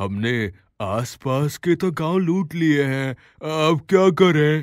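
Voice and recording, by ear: A man puts on a cartoonish character voice at a fairly high pitch and a fairly slow pace, on a very clean recording with a silent background.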